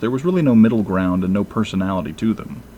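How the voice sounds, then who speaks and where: Over noticeable background noise, a man with a fairly low pitch speaks with lively intonation. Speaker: movie reviewer. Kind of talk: review commentary.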